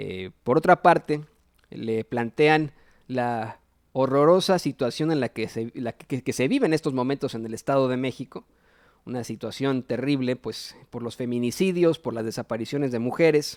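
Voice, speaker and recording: In a very clean recording with a silent background and a dry, close sound with no echo, a man with a plain, everyday voice speaks at medium pitch, moderate pace and ordinary pitch variation. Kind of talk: political news commentary. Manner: casual, opinionated.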